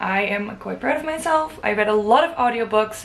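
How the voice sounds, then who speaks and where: There is noticeable background noise as a woman speaks with ordinary pitch variation. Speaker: book vlogger. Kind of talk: casual vlog talk to camera.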